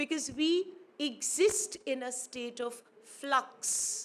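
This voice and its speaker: A woman talks in a high pitch with a Pakistani accent. Her intonation is lively. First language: Urdu. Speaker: academic speaker. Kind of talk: conference speech. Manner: formal.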